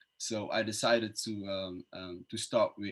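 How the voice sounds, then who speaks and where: The man talks with a fairly low pitch. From Netherlands, born in Nigeria. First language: Dutch. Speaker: entrepreneur and investor. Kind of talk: panel discussion. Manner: halting, many fillers.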